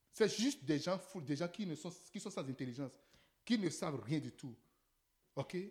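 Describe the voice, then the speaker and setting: The speaker keeps a moderate pace broken by long, frequent pauses. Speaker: preacher. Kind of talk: sermon preached in French, paused for line-by-line English interpretation. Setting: church with congregation, interpreter.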